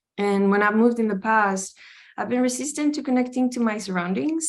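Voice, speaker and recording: Against a quiet background, a woman with a Spanish accent speaks with ordinary pitch variation. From Costa Rica. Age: 20s. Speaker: art student. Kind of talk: presentation.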